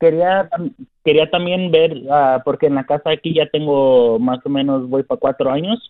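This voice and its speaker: Fairly high pitch from a man, at a moderate pace and with ordinary pitch variation. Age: 20s. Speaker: tree worker and caller. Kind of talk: phone call-in question. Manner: halting.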